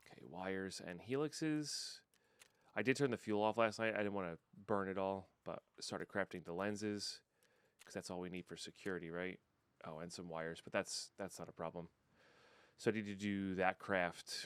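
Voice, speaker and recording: A man speaks quietly at a moderate pace with a fairly low pitch and ordinary pitch variation. His loudness swings widely, in a dry, close sound with no echo. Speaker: gaming streamer. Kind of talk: gameplay commentary. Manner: quiet, talking low; casual, rambling.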